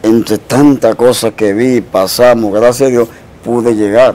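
This man talks at a moderate pace with monotone, flat intonation. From Dominican Republic. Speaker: Dominican artist; interview guest. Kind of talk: interview storytelling. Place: studio. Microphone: lapel.

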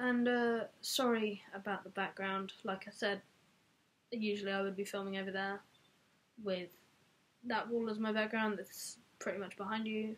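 At a moderate pace, a woman speaks in a monotone with flat intonation. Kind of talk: casual vlog chat. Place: home room. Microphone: webcam.

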